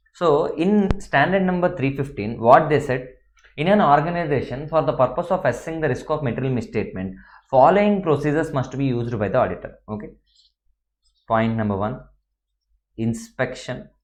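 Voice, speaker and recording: A man's fairly high, lively voice at a fairly quick pace, with long, frequent pauses and audible room echo. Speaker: accounting lecturer. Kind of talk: lecture.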